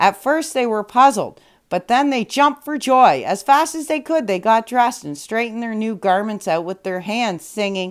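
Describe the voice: Lively intonation marks a woman speaking at a fairly high pitch and moderate pace.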